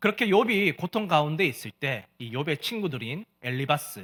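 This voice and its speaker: In a Gyeongsang accent, a man speaks at a fairly slow pace with very wide pitch swings, the sound dry and close with no echo on a very clean recording with a silent background. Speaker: pastor. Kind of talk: sermon.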